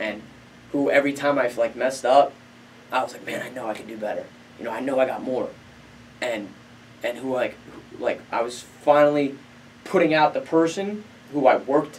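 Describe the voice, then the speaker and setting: Over noticeable background noise, a man with an American accent speaks at a fairly high pitch with ordinary pitch variation and long, frequent pauses. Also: fairly quick pace. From New Jersey. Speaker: professional MMA fighter. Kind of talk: casual interview chat. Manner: animated storytelling.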